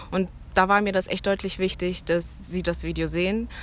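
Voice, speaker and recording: At a moderate pace and medium pitch, a woman with an ordinary speaking voice talks with fairly even intonation. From Germany, Cologne. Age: 20s. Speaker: student. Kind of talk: interview.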